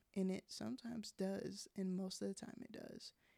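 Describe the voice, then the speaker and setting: Recorded dry and close with no echo, a woman talks at a moderate pace. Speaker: podcast host. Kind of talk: solo podcast monologue. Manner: casual, conversational.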